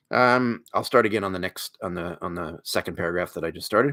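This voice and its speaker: Loud and with a bright, sharp tone, a man speaks with ordinary pitch variation in a dry, close sound with no echo. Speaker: podcast host and job seeker. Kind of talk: reading aloud. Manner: loud, then toned down.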